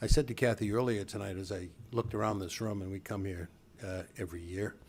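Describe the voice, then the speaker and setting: Speaking very fast, a man with an American accent keeps his intonation fairly even. His fairly low voice sounds somewhat breathy. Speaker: charity campaign chairman and parent. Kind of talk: speech at a charity dinner. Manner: casual, self-deprecating delivery.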